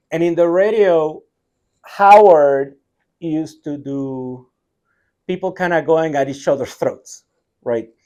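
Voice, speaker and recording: Fairly slow speech from a man with a Puerto Rican accent, fairly high in pitch with a dark, mellow tone and lively intonation, against a quiet background. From Puerto Rico. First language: Spanish. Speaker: tech company CTO. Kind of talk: interview conversation.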